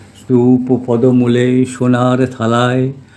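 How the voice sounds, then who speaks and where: With music behind him, the man talks at a medium pitch. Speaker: retired mechanical engineer. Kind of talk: poetry reading. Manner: soft-spoken.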